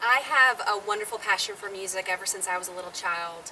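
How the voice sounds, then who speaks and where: With a slight Southern US accent, a woman speaks at medium pitch over noticeable background noise. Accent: slight Southern twang. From Southern California. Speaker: singer and ministry show co-host. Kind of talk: interview.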